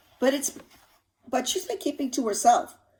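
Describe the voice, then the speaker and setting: This is a put-on character voice that sounds female, raspy, and high-pitched. It moves at a moderate pace. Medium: read story.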